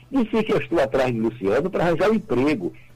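Music plays in the background as a man talks in a fairly high pitch. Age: 80s+. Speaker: retired federal prosecutor and jurist. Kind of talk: radio interview. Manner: emphatic.

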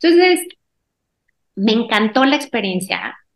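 A woman speaks at a moderate pace. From Mexico, Guanajuato. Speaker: quilter and sewing teacher. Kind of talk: interview.

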